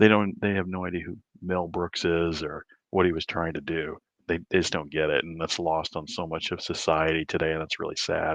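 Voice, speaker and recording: In an American accent, a man speaks with very deep, low pitch at a fairly quick pace. His intonation is monotone and flat. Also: quiet background. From Southern Illinois. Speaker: livestream host, amateur astronomer. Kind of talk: casual chat. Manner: hushed, quiet.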